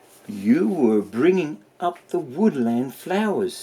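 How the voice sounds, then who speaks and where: In a put-on character voice, a man speaks at a fairly slow pace with a fairly high pitch. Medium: read story.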